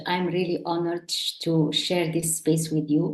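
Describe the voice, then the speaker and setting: A woman speaks with an Arabic accent. Her pitch is fairly low. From Morocco. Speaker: online entrepreneur. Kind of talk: interview. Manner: halting.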